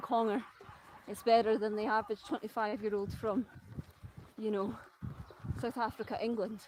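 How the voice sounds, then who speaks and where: At a moderate pace, a woman with a Scottish accent speaks in a fairly high pitch. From Scotland. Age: 30s. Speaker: travel vlogger. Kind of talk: casual vlog talk. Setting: outdoors walking, live stream. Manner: rolled R's.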